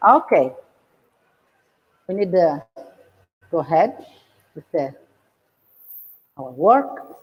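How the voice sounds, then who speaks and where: A woman with an Italian accent and a fairly low voice speaks very slowly, pausing long and often, with very wide pitch swings. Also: big swings in loudness. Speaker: Michelin-starred chef. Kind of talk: cooking demonstration. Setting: outdoors. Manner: halting.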